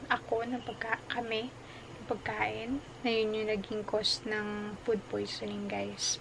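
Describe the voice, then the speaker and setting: Over noticeable background noise, a woman speaks at a very slow pace. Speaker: vlogger. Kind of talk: casual vlog chat. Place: home room. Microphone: phone near.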